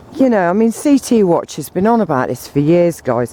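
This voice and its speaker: A woman mumbles in an English accent. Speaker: vlogger. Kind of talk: casual monologue. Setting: outdoors. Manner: mumbling.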